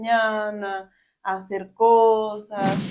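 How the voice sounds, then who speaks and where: A woman with a Costa Rican accent, medium in pitch, in a flat monotone. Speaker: podcast guest. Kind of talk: interview testimony.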